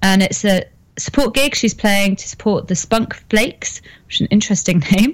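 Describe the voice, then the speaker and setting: Somewhat breathy, a woman talks at a moderate pace and medium pitch with ordinary pitch variation. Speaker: co-host.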